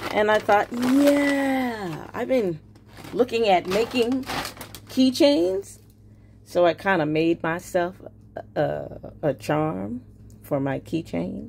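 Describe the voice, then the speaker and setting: Over noticeable background noise, a woman with an American accent and a medium pitch talks at a very slow pace, her pitch swinging very widely and her long pauses coming often. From New York. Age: old. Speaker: YouTuber, crafter. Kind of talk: casual video talk. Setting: home video with ring light. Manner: casual, hesitant with fillers.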